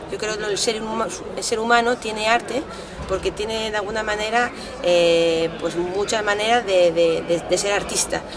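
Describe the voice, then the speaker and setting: A fairly high-pitched woman's voice at a moderate pace with fairly even intonation and noticeable background noise. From Italy. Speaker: artist. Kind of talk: interview. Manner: halting. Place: street.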